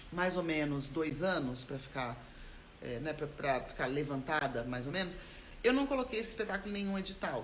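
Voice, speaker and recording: Audible room echo surrounds a woman whose pitch swings very widely. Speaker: actor and theatre maker. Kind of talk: live stream talk about creative process. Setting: live stream. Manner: fast.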